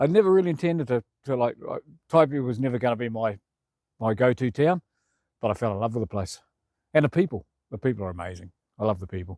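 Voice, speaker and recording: A man with a New Zealand accent at medium pitch, very wide pitch swings, a very fast pace and long, frequent pauses, in a very clean, dry, close recording with a silent background and no echo. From New Zealand (Feilding). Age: 60s. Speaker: community volunteer. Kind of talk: interview testimony. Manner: casual, halting.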